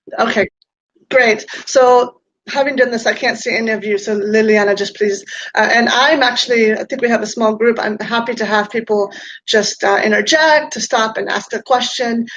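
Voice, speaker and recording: Here a woman with an ordinary speaking voice and fairly high pitch speaks at a moderate pace with fairly even intonation. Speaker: peacebuilding and city resilience practitioner. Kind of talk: online talk with presentation.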